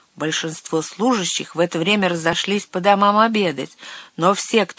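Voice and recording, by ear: Someone reads aloud in a natural voice, the pitch shifting an ordinary amount.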